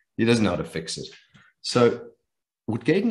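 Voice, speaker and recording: A man's voice with vocal fry and lively intonation. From South Africa, Johannesburg. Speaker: businessman and private investor; interview guest. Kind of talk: interview. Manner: animated. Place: home room. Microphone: video call.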